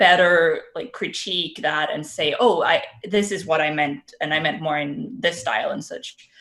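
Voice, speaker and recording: With a Danish accent, a woman talks at a moderate pace with lively intonation and hardly any pauses. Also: fairly low pitch for a woman. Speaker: artist and streamer. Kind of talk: casual podcast chat. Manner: hesitant, many fillers.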